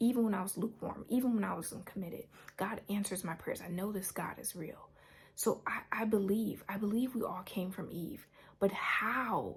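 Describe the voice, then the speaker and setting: Quiet and somewhat breathy, a woman speaks at a medium pitch. Her pace is moderate, with ordinary pitch variation. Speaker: YouTuber sharing a religious dream. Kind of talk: personal testimony to camera. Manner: quiet, holding voice down; halting, with repetitions and fillers.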